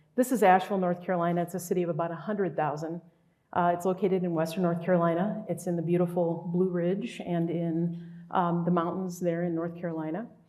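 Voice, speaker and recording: With audible room echo, a dark, mellow voice races along at a very fast pace in a flat monotone. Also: woman, fairly low pitch for a woman. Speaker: urban planner. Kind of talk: lecture. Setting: stage with audience. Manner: soft-spoken.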